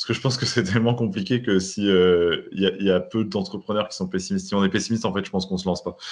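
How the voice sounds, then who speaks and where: This man speaks at a very fast pace. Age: 30s. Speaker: entrepreneur, newspaper cofounder. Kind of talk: interview.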